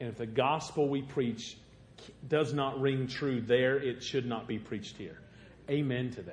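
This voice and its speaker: A somewhat breathy man with a Southern Illinois accent and medium pitch speaks at a fairly slow pace with fairly even intonation and big swings in loudness. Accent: southern Illinois rural. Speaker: guest preacher. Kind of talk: sermon. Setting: church.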